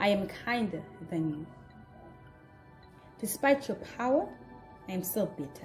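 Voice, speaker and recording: A woman at medium pitch with very wide pitch swings, a fairly slow pace, long, frequent pauses, and music in the background. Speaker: voice actress. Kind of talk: dramatic monologue read.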